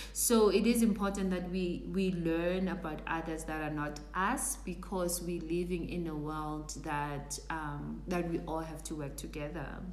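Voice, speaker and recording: With audible room echo and noticeable background noise, a woman talks at a fairly slow pace with hardly any pauses. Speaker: career coach. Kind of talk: live stream talk. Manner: halting.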